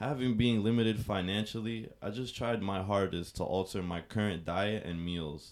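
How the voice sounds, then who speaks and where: Here a man uses a normal speaking voice. His pace is moderate, with ordinary pitch variation. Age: 20s. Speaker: fitness enthusiast. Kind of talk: casual interview.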